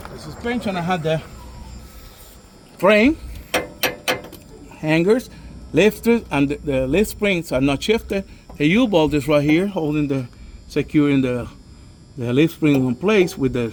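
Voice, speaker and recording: Over noticeable background noise, a man with a fairly high pitch talks at a fairly slow pace, using lively intonation and long, frequent pauses. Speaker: bus driver trainee demonstrating inspection. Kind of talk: tutorial.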